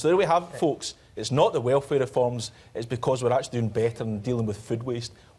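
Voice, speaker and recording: A man speaks at a very fast pace with a Scottish accent. His pitch is medium. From Scotland. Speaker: politician. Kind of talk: televised debate. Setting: TV studio with audience. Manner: animated. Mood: sarcastic, combative. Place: studio. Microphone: lapel.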